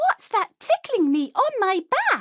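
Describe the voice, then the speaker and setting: A woman's squeaky, put-on character voice, extremely high in pitch, at a fairly slow pace. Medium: read story.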